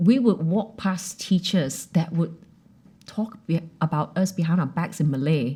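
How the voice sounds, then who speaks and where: Fairly slow and somewhat breathy, a woman talks in a dark, mellow tone at a fairly low pitch with ordinary pitch variation. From Malaysia and Australia. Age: 40s. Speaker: actress and TV host. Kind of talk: casual interview chat. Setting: studio. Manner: animated.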